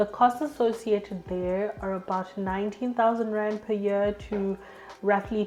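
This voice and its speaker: A woman's medium-pitched voice at a fairly slow pace, fairly even in intonation, over noticeable background noise. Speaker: education YouTuber. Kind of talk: informational talk to camera.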